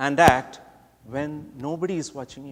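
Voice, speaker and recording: A man with a Keralan accent speaks at a moderate pace. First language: Malayalam. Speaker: speech contest competitor. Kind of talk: prepared contest speech.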